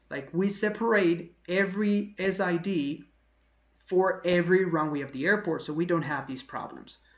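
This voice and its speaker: A woman with a non-native accent speaks at a moderate pace in a fairly low pitch. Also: ordinary pitch variation. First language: not English. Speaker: aviation video host. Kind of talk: analysis commentary. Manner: conversational, with fillers.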